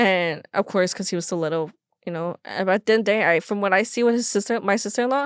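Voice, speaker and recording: Speaking at a very fast pace with an American accent, a woman with a medium pitch and ordinary pitch variation is heard in a very clean, dry, close recording with no echo and a silent background. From Los Angeles area, California. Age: 20s. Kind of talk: podcast interview. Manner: halting.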